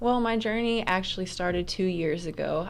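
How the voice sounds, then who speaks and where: A woman with an American accent and a fairly low pitch at a moderate pace, with audible room echo. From Oklahoma. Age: 20s. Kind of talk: radio interview.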